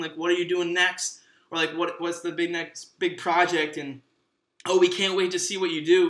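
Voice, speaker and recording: Bright and sharp in tone, a voice with an American accent keeps fairly even intonation, with audible room echo over a quiet background. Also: man. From Michigan, USA. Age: 20s. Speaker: actor. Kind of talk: casual podcast monologue. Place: home room.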